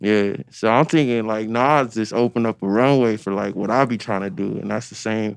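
With an American accent and a normal speaking voice, a man talks at a fairly quick pace at medium pitch, with ordinary pitch variation, hardly any pauses, and a quiet background. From Los Angeles area, San Gabriel Valley. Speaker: rapper. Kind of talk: interview.

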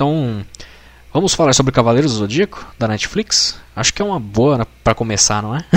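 At a moderate pace, a man with an unremarkable speaking voice and medium pitch talks with lively intonation. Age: 20s. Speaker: podcaster and designer. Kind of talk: casual chat.

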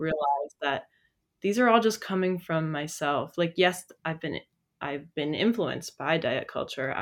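A woman speaks in a normal speaking voice. Her pitch is fairly low and her pace fairly slow. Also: ordinary pitch variation. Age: 20s. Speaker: university student. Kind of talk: podcast interview.

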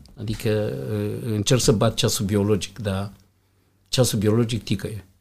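Speaking at a very slow pace, a man uses a fairly low pitch. His voice is somewhat breathy, with ordinary pitch variation. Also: very clean recording, silent background. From Romania, Iași. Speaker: hotel general manager. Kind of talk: interview.

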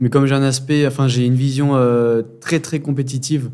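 In a dark, mellow tone, a man at a medium pitch talks with monotone, flat intonation. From France, Grenoble. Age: 20s. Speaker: amateur street workout athlete. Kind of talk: casual chat. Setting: training facility in Bali.

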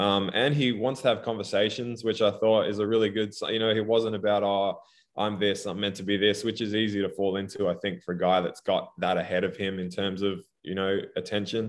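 Fairly even intonation and a fairly quick pace mark this speech with an Australian accent. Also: man, fairly low pitch for a man. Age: 30s. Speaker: professional basketball player. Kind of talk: casual chat.

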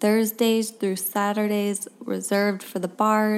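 Reading aloud, plain

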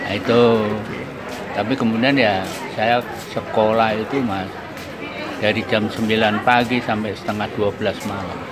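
Crowd noise fills the background. A man speaks amid audible room echo. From Central Java, Indonesia (Blora). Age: 80s+. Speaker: writer. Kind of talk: interview. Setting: outdoors.

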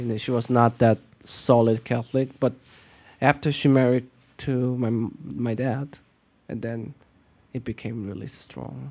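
Speaking at a fairly slow pace with long, frequent pauses, a man with a Korean accent keeps to a medium pitch. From South Korea. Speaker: artist and art teacher. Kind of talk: casual interview conversation. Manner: soft-spoken.

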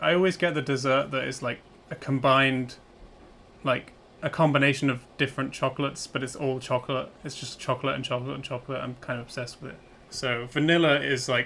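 A British-accented man at medium pitch, bright and sharp in tone, with fairly even intonation and a very fast pace. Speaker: podcast co-host, software developer. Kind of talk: casual chat.

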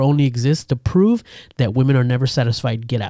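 This man has a medium pitch and a dark, mellow tone, speaking at a fairly quick pace with ordinary pitch variation. The sound is dry and close, with no echo. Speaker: podcast co-host. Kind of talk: casual chat. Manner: casual, laughing often.

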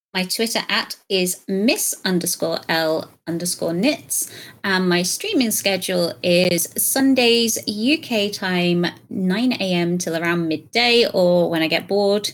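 A woman with a British accent, medium pitch, ordinary pitch variation and a very slow pace. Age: 30s. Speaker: content creator. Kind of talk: casual chat.

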